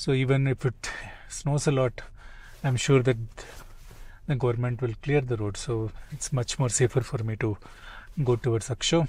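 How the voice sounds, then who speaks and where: The voice belongs to a man and is somewhat breathy. The sound is dry, with no echo. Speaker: travel vlogger. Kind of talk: casual vlog chat. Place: car. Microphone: phone near.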